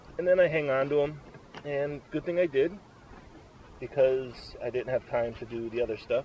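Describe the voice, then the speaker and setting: There is noticeable background noise as a man with a fairly high pitch speaks at a moderate pace. His pitch varies in an ordinary way, and he leaves long, frequent pauses. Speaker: outdoors vlogger. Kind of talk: casual tutorial. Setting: outdoors at campsite. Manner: loud.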